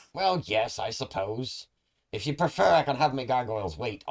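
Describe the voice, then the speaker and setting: At a moderate pace, a man puts on a character voice at a medium pitch against a quiet background. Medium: actual play. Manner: theatrical, scornful, calls others dearie.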